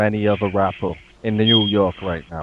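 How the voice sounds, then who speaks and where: The delivery is fairly quick. It comes with a British accent. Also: man. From England. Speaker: interviewer. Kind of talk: interview.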